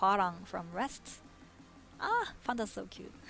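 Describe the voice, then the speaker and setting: A woman speaks with a non-native accent. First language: not English. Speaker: esports commentator. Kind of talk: live commentary. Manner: animated.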